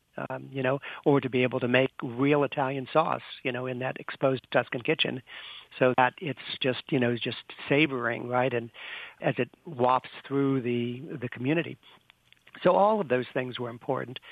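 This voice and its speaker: Here a man uses a normal speaking voice at medium pitch, with fairly even intonation. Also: moderate pace. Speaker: senior living executive and author. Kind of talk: interview.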